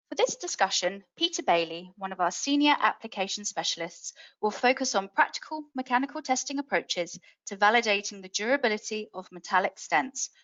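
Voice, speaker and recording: Speaking fairly quickly in a British accent, a woman lets her pitch swing very widely. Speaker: webinar host. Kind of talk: scripted webinar introduction. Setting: webinar.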